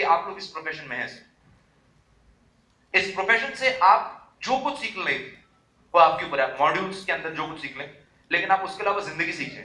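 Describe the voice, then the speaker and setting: A man projects a raised voice at a moderate pace, with high pitch and lively intonation. Noticeable background noise and audible room echo fill the recording. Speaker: motivational speaker. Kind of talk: motivational speech. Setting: stage with audience. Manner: animated.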